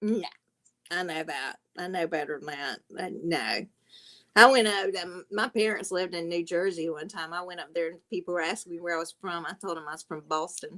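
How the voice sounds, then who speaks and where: Talking at a fairly quick pace in a Southern US accent, a woman has a fairly low pitch and a bright, sharp tone. Her pitch varies in an ordinary way while her loudness swings widely. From South Carolina. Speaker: livestream panel host. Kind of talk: casual chat.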